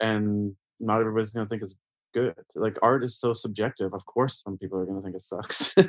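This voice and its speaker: In a Canadian accent, a man talks very fast at a fairly low pitch, monotone and flat, with a dry, close sound and no echo. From Canada. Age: 40s. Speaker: painter. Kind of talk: casual interview.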